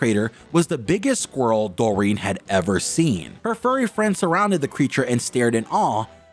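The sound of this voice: What we hear is an unforced reading voice.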